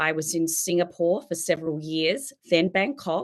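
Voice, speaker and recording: An Australian accent at a moderate pace, with ordinary pitch variation and a quiet background. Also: woman. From South Australia, Adelaide. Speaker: teacher and keynote speaker. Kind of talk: keynote talk.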